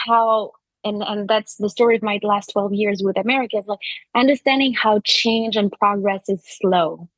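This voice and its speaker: Speaking in a French accent, a woman has a fairly high pitch and fairly even intonation at a moderate pace. The sound is dry and close, with no echo. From France. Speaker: advertising agency co-founder. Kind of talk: interview conversation.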